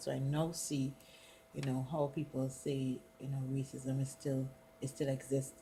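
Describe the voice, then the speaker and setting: Her voice is somewhat breathy. The woman's tone is dark and mellow. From Trinidad and Tobago. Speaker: college student. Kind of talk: casual conversation.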